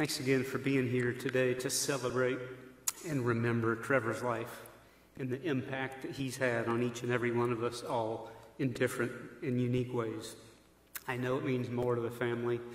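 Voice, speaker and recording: A man speaks in a monotone with flat intonation at a moderate pace. Audible room echo surrounds the voice. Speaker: pastor giving eulogy. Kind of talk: eulogy speech. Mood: solemn, warm, respectful. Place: church. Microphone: podium.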